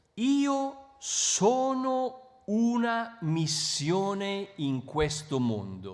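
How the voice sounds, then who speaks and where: Very wide pitch swings at a very slow pace with hardly any pauses, over noticeable background noise. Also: man, high pitch for a man. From Italy, Milan. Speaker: bishop, missionary. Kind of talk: talk with interpreter. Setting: public event with audience. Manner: short phrases paused for interpreter.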